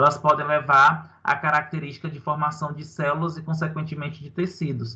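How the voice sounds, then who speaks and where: This man's tone is bright and sharp, with a fairly high pitch. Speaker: university lecturer. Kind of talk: online lecture. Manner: animated.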